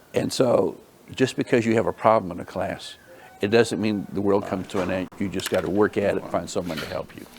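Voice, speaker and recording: Against noticeable background noise, a man talks at a fairly quick pace with fairly low pitch. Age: 70s. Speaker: substitute teacher. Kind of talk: interview.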